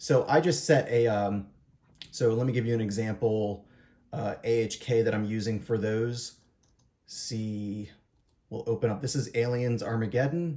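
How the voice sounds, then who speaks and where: Long, frequent pauses break up this man's dark, mellow delivery. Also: medium pitch for a man, ordinary pitch variation. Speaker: hobbyist YouTuber answering viewer questions. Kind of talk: tutorial. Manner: fast; hesitant, many fillers.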